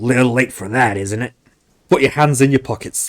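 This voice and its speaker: Using a put-on character voice, a raspy man speaks at medium pitch and a moderate pace. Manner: casual, amused, mocking.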